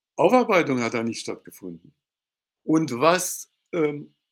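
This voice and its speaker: In a very clean recording with a silent background, a man with vocal fry swings his pitch very widely. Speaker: law professor and former judge. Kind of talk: interview. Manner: hesitant, with fillers.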